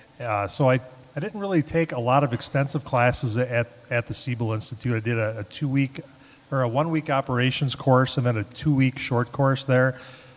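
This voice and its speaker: This man speaks at medium pitch with a Chicago accent, a fairly quick pace and ordinary pitch variation. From Chicago, South Side. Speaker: head brewer. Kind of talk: panel talk at tasting event. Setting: event room with live audience.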